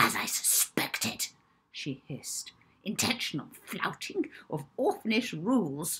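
A put-on character voice whispers at a fairly slow pace, with hissing running through it. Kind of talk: audiobook reading with character voices. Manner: hissing, spiteful.

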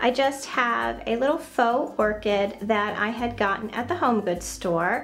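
Over light background noise, a woman speaks at a fairly slow pace with lively intonation. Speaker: home decor vlogger. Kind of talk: casual home tour narration. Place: bathroom. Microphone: phone near.

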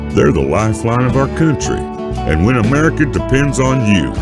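A man talks at a moderate pace over clear background music, the sound dry with no echo. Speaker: voice actor. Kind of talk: TV commercial read. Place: booth.

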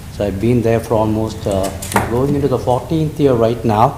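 A man with a non-native accent talks at a moderate pace with ordinary pitch variation. Audible room echo and noticeable background noise come through. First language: not English. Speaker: restaurant owner, public commenter. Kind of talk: public comment at council meeting. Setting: council chambers. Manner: halting.

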